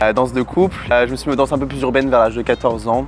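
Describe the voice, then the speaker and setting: With music in the background, a man speaks at medium pitch with fairly even intonation. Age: 20s. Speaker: professional dancer and model. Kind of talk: interview answers, casual. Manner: casual, hesitant with fillers.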